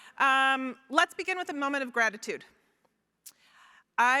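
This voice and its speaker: Raising and projecting her voice, a woman speaks at a moderate pace in a high pitch, her tone bright, sharp and animated. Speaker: federal health official. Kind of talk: keynote speech. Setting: stage with audience.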